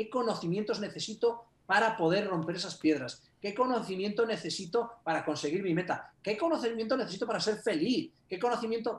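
A man speaks in a high, animated voice. His pace is moderate. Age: 50s. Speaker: personal growth coach and author. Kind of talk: interview.

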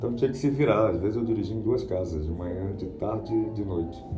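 A man at a fairly quick pace, with ordinary pitch variation and audible room echo. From Rio de Janeiro, Brazil. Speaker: voice actor and dubbing teacher. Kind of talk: interview.

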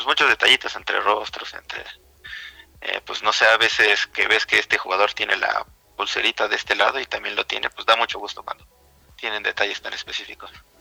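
Over music in the background, the speaker talks fairly quickly in a flat monotone, with big swings in loudness. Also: man, dry, close sound with no echo. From Mexico City. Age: 30s. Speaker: video game editor. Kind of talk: casual interview. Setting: radio studio.

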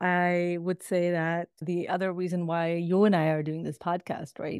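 A woman with a fairly low pitch speaks at a fairly slow pace with hardly any pauses and fairly even intonation, in a plain, everyday voice. The recording is very clean and dry, close with no echo, over a silent background. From Toronto, Canada. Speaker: podcast co-host, diversity and inclusion coach. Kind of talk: casual chat.

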